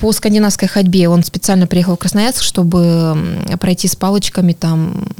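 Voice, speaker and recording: Over noticeable background noise, a woman of medium pitch speaks at a moderate pace, in a monotone, flat way and at very even loudness. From Norilsk, Russian Far North. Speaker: amateur runner and running community ambassador. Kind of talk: podcast interview. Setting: studio.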